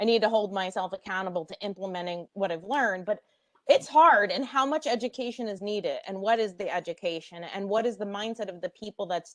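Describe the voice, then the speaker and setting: In a dry, close sound with no echo, a woman with an unremarkable speaking voice and an American accent talks at a fairly quick pace and medium pitch, with ordinary pitch variation and big swings in loudness. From United States. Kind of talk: panel discussion.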